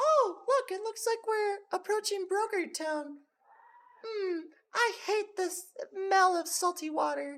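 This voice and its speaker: Putting on a squeaky character voice at an extremely high pitch, a man speaks at a fairly slow pace. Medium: actual play. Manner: gentle, wry.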